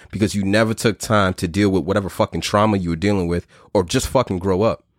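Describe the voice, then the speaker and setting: Very fast speech comes from a man with a New York accent. The sound is dry and close with no echo, on a very clean recording with a silent background. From US Northeast (Brooklyn, New York). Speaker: podcast host. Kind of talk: casual chat. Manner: animated.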